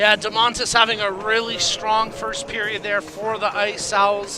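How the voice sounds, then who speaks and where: A man's raised, projected voice at a moderate pace, over noticeable background noise. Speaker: play-by-play commentator. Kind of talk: live commentary. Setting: broadcast stand at arena.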